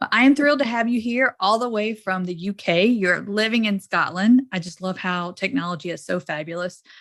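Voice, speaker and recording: A woman talks fairly quickly in a Southern US accent, with hardly any pauses and an animated tone. Her pitch is medium, with ordinary pitch variation. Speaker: podcast host. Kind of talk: podcast interview.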